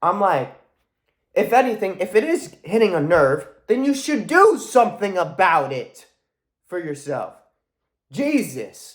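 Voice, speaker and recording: A loud man with a high voice and an animated tone, his pitch swinging very widely, on a very clean recording with a silent background. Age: young. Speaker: motivational vlogger. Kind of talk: motivational monologue.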